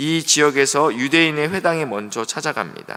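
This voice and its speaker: At a moderate pace, a man talks in an ordinary speaking voice pitched fairly high. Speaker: pastor. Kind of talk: sermon.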